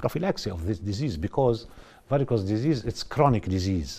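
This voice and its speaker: A somewhat breathy man with a non-native accent speaks in a dark, mellow tone with lively intonation. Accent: non-native English, self-described. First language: Russian, French and Arabic. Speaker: vascular surgeon. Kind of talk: TV interview. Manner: halting, many fillers.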